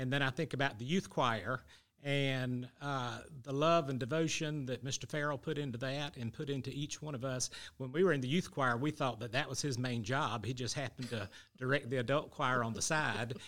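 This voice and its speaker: Speaking with a Southern US accent at medium pitch, a man talks at a fairly quick pace with fairly even intonation on a very clean recording with a silent background. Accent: Southern US (Georgia). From US South. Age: 50s. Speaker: church member. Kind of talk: interview.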